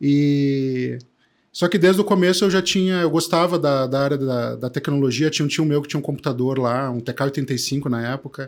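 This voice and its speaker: This man has a southern Brazilian accent, a fairly high pitch and ordinary pitch variation. He talks at a fairly quick pace in a very clean recording with a silent background. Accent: gaúcho. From southern Brazil, Porto Alegre. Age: 50s. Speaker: tech entrepreneur. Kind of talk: casual interview chat.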